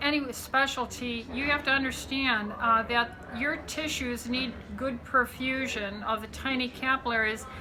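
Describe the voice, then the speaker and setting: Noticeable background noise and audible room echo surround a woman speaking at a fairly slow pace in a high voice with fairly even intonation. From Southern California. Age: 60s. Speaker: physician. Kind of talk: interview talk. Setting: medical conference. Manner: hesitant with many fillers.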